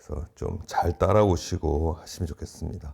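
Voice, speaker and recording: This man keeps a moderate pace. His pitch is very deep and low, with a dark, mellow tone. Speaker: exam prep lecturer. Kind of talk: lecture.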